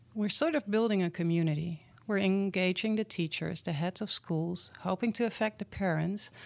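Speaking at a moderate pace with hardly any pauses, a woman uses medium pitch and ordinary pitch variation in a dry, close sound with no echo. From Netherlands. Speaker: program founder working with schools. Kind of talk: casual interview.

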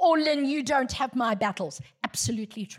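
A woman's somewhat breathy voice sweeps through very wide pitch swings. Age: 60s. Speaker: guest preacher. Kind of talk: sermon. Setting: church.

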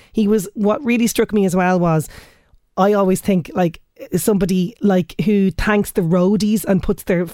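Speaking at a fairly quick pace in an Irish accent, a woman with a medium-pitched voice is heard on a very clean recording with a silent background. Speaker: radio host. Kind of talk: radio show presenting. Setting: studio.

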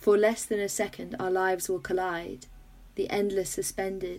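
A woman with a British accent speaks at a fairly slow pace in a dark, mellow tone. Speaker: podcast host. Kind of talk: casual chat. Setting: video call.

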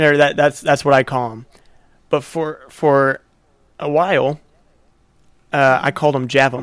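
At a fairly slow pace, a man with a fairly high pitch speaks in fairly even intonation, with long, frequent pauses. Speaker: podcast host. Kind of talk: casual chat.

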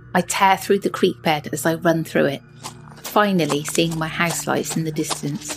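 Music plays behind a woman with a very deep, low pitch and a dramatic tone. She keeps a moderate pace and fairly even intonation. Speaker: podcast host. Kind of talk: ghost story telling, reading listener-submitted scary tale aloud. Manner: hushed, suspenseful, dramatic pacing.

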